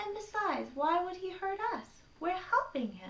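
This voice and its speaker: A woman puts on a character voice, extremely high and squeaky, with a gentle tone. She speaks at a moderate pace. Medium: read story. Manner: gentle, reasonable.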